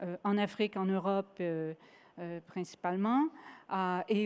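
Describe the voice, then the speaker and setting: Speaking at a very slow pace, a woman keeps a medium pitch with ordinary variation. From Quebec. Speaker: sustainability executive at investment fund. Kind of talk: award acceptance speech. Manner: halting, many hesitations.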